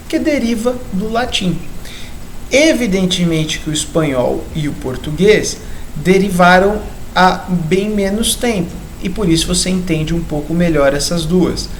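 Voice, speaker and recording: Amid noticeable background noise and audible room echo, a man speaks at a high pitch with ordinary pitch variation. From southeastern Brazil. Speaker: biology teacher. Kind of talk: lecture. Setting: recorded video lesson.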